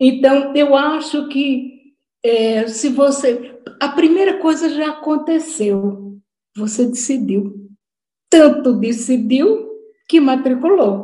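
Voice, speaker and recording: Pitched high, a woman talks very slowly in a dark, mellow tone with lively intonation. Room echo is audible. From Brazil, Natal (Northeast). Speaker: retired education professor. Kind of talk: online lecture. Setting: video call.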